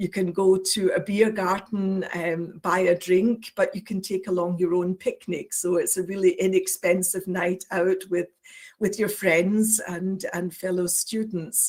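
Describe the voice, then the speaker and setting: A woman speaks in a Scottish accent at a medium pitch and a fairly slow pace. She barely pauses, and her intonation is flat and monotone. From Scotland. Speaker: university international office administrator. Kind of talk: presentation. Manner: hesitant, many fillers.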